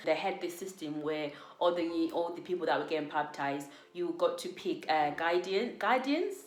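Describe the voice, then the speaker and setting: Over audible room echo, a woman with a fairly low pitch speaks at a moderate pace. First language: not English. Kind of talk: personal testimony. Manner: hesitant, many fillers.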